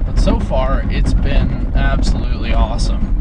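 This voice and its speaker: Recorded with a dry sound and no echo, a man speaks against loud background noise. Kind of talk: casual vlog chat. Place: car. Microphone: phone near.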